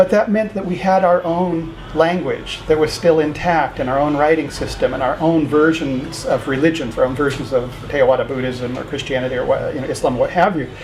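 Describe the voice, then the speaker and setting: Over noticeable background noise, a man with a fairly high pitch and ordinary pitch variation talks at a fairly quick pace with hardly any pauses. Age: 60s. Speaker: university founder and rector. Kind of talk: interview. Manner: conversational, many fillers.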